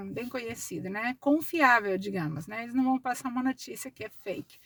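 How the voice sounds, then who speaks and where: A woman's fairly high voice, bright and sharp in tone, with ordinary pitch variation and a dry, close sound with no echo. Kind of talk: casual vlog monologue. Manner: slow, deliberate.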